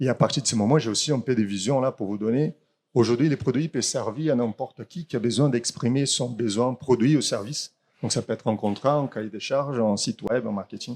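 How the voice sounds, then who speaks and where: A man speaks with a Brazilian accent at a medium pitch, using ordinary pitch variation and a fairly quick pace. The sound is dry and close with no echo, on a very clean recording with a silent background. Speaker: startup founder. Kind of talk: startup pitch. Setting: in person, standing. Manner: halting.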